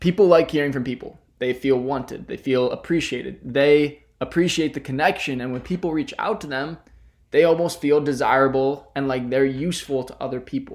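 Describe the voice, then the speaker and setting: Using a normal speaking voice, a man with a fairly high pitch talks at a fairly quick pace with fairly even intonation and big swings in loudness. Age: 20s. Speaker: podcast host, college student. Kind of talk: solo podcast monologue.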